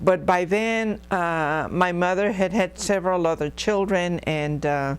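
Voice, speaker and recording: Recorded very cleanly against a silent background, a woman with a Spanish accent speaks at a fairly low pitch and a fairly slow pace with ordinary pitch variation. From Texas, San Marcos area. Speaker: oral history interviewee, former school board member. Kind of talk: oral history interview. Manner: hesitant, many fillers.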